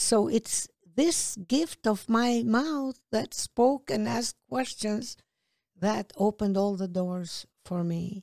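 Speaking very slowly, a woman has a fairly high pitch, a dark, mellow tone and lively intonation, in a dry, close sound with no echo. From Kosovo. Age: 60s. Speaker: activist and author. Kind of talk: casual interview chat.

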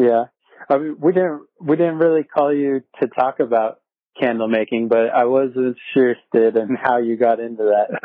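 A man with a plain, everyday voice and an American accent at medium pitch, moderate pace and ordinary pitch variation. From San Diego, California. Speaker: podcast host. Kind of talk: casual chat. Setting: remote call.

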